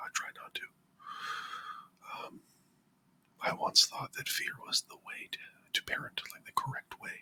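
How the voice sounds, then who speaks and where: A man whispers at a moderate pace, the sound dry and close with no echo. Noticeable background noise runs underneath. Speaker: parent. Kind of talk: casual rambling talk to camera, ASMR. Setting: home, close to a microphone. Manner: whispered, soft-spoken.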